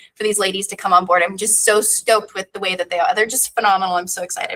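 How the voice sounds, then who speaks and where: A woman speaks at a very fast pace with a medium pitch. Her tone is bright and sharp. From Los Angeles, US. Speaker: director of operations at a business accelerator. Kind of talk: interview. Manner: loud; animated.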